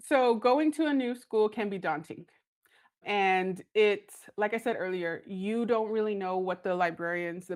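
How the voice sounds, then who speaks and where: In a very clean recording with a silent background, a woman with an American accent speaks with ordinary pitch variation. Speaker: school librarian. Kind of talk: podcast interview. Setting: studio. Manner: loud; animated.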